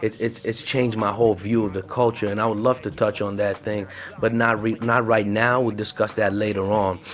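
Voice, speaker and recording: Fairly quick, animated speech in an Arabic accent. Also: man, fairly low pitch for a man. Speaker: podcast host. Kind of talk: casual solo podcast talk. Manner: animated, halting with fillers.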